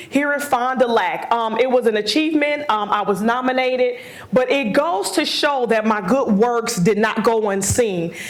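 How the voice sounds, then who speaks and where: Noticeable background noise and audible room echo surround a woman speaking with an American accent. Her intonation is lively, her loudness very even, her pace moderate. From Wisconsin (Milwaukee). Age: 40s. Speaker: motivational speaker. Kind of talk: lecture.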